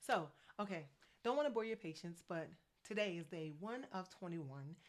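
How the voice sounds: A woman with an American accent, lively intonation, a medium pitch and a moderate pace.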